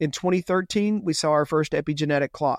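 A man talks at a fairly quick pace in a Texan accent, with ordinary pitch variation. The sound is dry and close with no echo, over a quiet background. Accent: Texan American. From Texas, Houston. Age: 50s. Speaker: longevity entrepreneur. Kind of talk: podcast interview.

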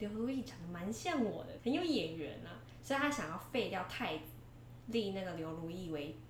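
Pitch swings very widely at a moderate pace, with noticeable background noise and audible room echo. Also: woman. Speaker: history podcast co-host. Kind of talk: storytelling; casual chat. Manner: little vocal variation.

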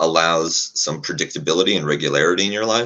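Vocal fry marks the speech of a man whose pitch is very deep and low. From Poland. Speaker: Eastern Europe security analyst. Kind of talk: panel discussion.

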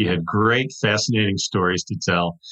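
Here is a normal speaking voice with an American accent. It moves at a moderate pace with ordinary pitch variation. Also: man. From US Midwest, Wisconsin. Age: 60s. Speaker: author and TV writer. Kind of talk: interview.

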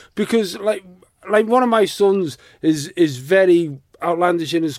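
In a British accent, a man speaks with a high pitch and ordinary pitch variation. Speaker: podcast host. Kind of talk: casual chat.

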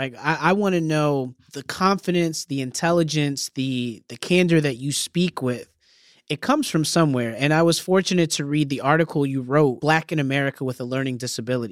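A man speaks in an ordinary speaking voice, fairly high in pitch, at a fairly quick pace. His pitch varies in an ordinary way, and the recording is very clean, with a silent background. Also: dry, close sound with no echo. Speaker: podcast host and former teacher. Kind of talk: podcast interview.

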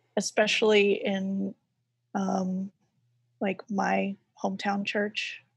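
A woman with an American accent speaks very slowly at medium pitch, her voice somewhat breathy. Her intonation is monotone and flat, broken by long, frequent pauses. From US South. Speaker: graphic designer and artist. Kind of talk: casual interview chat.

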